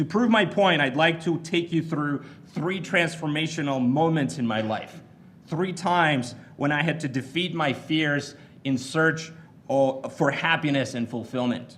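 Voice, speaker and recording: With a Bulgarian accent, a man speaks at a fairly high pitch with ordinary pitch variation, and audible room echo surrounds his voice. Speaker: commencement speaker. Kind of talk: commencement speech. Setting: stage with audience.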